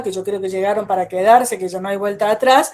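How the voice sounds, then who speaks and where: A woman speaks with an Argentine accent and fairly even intonation. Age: 70s. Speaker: psychologist and education speaker. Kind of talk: online talk.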